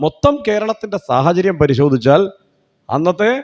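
Here a man talks with a high pitch. His pitch swings very widely. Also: dry, close sound with no echo. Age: 40s. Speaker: public speaker. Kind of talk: public speech.

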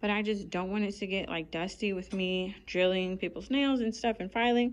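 Speaking at a fairly quick pace, a woman uses ordinary pitch variation. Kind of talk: casual vlog chat. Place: shop. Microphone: phone near.

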